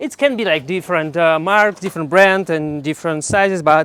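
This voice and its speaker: A non-native accent comes through. Words arrive at a moderate speed. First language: not English. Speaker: hiking guide vlogger. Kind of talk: tutorial. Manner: halting, many fillers and restarts.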